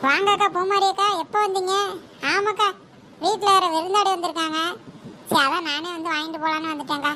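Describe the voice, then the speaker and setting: A woman's cartoonish character voice at an extremely high pitch, moderate in pace with fairly even intonation, against clear background noise. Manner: eager, wheedling.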